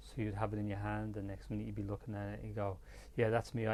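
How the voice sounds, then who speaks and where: A man speaks with a Dublin accent. His pace is very fast. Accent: Dublin Irish. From Ireland, Dublin. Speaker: photographer. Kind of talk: interview conversation. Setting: studio. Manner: soft-spoken.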